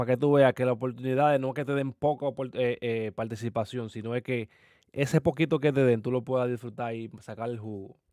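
Speaking at a fairly quick pace, a man has medium pitch, a dark, mellow tone and fairly even intonation.

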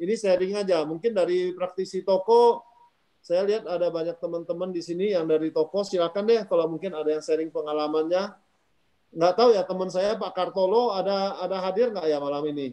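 Against a quiet background, a man with a high pitch and a dark, mellow tone talks at a fairly quick pace with fairly even intonation. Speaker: company founder; webinar host or moderator. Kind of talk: discussion moderation. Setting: video call. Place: home room. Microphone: phone instead of laptop; video call.

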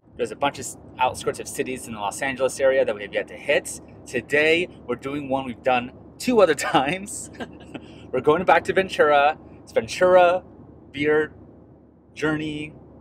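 A man at a moderate pace with ordinary pitch variation, long and frequent pauses, dry sound with no echo, and light background noise. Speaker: beer vlogger. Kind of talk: casual vlog chat. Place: car. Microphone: phone near.

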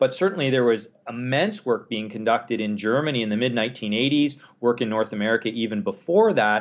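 A man with a Canadian accent talks fairly quickly, with hardly any pauses and ordinary pitch variation. He has a plain, everyday voice. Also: medium pitch for a man. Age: 40s. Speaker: exercise science professor and researcher. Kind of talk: interview. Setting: phone call.

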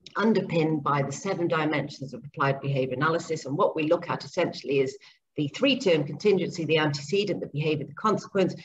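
Somewhat breathy speech comes at a very fast pace with ordinary pitch variation over light background noise. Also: woman. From Zambia and Papua New Guinea. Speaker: speech and language therapist and behaviour analyst. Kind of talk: interview. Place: home room. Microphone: video call.

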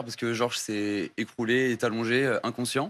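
A man speaks with fairly even intonation. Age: young. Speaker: sports coach. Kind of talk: TV interview. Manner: hesitant. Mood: serious, slightly nervous. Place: studio. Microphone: lapel.

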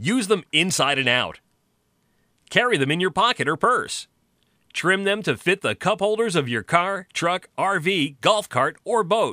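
A man projects a raised, bright, sharp voice with an energetic tone and lively intonation, recorded dry with no echo against a quiet background. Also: fairly slow pace. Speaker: voice actor. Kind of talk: infomercial pitch read. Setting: studio. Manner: over-the-top, energetic. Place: studio. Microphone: studio mic.

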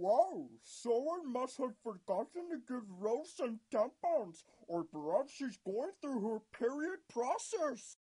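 This cartoonish character voice sounds female, with a fairly high pitch, a fairly slow pace and hardly any pauses. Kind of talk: comic overacting. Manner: melodramatic, mopey, then snide.

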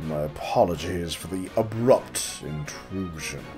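Clear music plays in the background as a man talks at a fairly slow pace in a put-on character voice. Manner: evil, cunning, polished.

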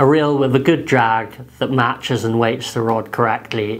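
Intonation is fairly even. The speech moves at a moderate pace. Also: man. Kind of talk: tutorial. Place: home room.

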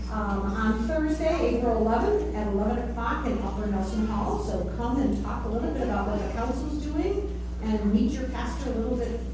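A woman's voice comes through with noticeable background noise and strong room echo. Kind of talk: church announcements and liturgy. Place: church. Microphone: camera far.

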